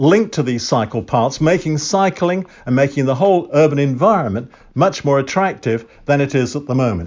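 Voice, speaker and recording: A man speaks in an English accent. His pitch is fairly high and his pace fairly quick. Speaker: civic society chair podcaster. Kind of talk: monologue podcast commentary. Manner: formal, opinionated.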